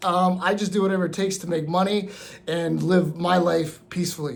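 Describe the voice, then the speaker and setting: High-pitched male speech at a moderate tempo, echoing audibly off the room. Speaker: vlogger on living abroad and remote work. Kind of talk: casual vlog talk to camera. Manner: halting, many fillers and repeats.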